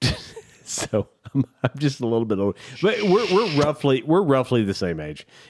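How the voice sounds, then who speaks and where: In an animated tone, a man speaks at medium pitch with very wide pitch swings, and the sound is dry and close with no echo. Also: moderate pace. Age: 60s. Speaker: podcast co-host. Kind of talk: casual chat.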